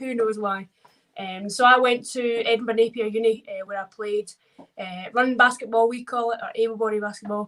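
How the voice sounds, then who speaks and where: A woman with a Scottish accent speaks at a fairly quick pace with fairly high pitch. Her intonation stays fairly even while her loudness swings widely. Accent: Scottish, toned down in England. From Scotland, Ayr. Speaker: wheelchair basketball player. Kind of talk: interview. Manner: casual, with many fillers.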